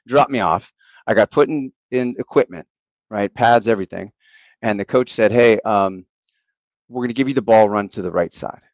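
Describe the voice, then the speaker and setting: Pausing long and often, a man with a Western Pennsylvania accent speaks at a moderate pace and medium pitch with ordinary variation, in a dry, close sound with no echo. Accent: Western Pennsylvania American. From Western Pennsylvania, near Pittsburgh. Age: 40s. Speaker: national team football coach. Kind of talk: podcast interview.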